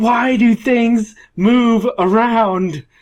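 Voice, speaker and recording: A man shouting in a put-on character voice, extremely high-pitched and whiny, with fairly even intonation. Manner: whiny, yelling.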